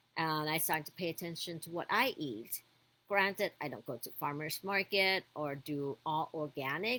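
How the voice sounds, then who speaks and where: The tone is bright and sharp, with lively intonation. Delivery runs at a moderate pace with big swings in loudness. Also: woman. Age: 50s. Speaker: lifestyle vlogger. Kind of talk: casual monologue. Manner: halting.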